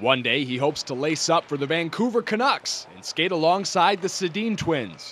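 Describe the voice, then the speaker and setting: With noticeable background noise behind him, a man speaks in a high pitch at a moderate pace, with lively intonation and hardly any pauses. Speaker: sports reporter and anchor. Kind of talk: local TV news feature voiceover.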